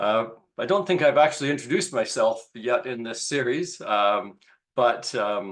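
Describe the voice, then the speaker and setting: A man's normal speaking voice, medium in pitch, with lively intonation and a moderate pace. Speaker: institute director. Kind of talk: lecture introduction.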